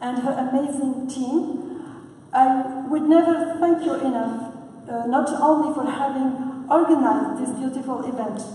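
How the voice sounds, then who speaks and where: Over noticeable background noise and audible room echo, a woman speaks at a fairly slow pace in a high pitch with fairly even intonation. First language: not English. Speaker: conference speaker. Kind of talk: prepared speech. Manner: halting, frequent uh.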